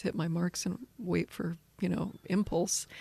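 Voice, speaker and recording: At a moderate pace, a woman with an American accent talks in a fairly low voice marked by vocal fry. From rural Kansas, USA. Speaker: actress, filmmaker and film professor. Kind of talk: interview answer.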